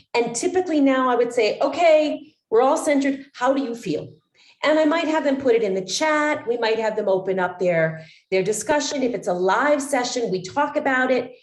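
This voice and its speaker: Her pitch is high for a woman, with lively intonation. Audible room echo surrounds the voice. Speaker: wellness coach trainer. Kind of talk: online training session. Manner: fast.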